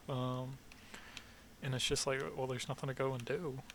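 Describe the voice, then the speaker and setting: A man with a slight Southern US accent talks at a medium pitch. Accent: slight Southern twang. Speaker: vlogger, army veteran. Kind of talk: casual monologue vlog. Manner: halting, many fillers.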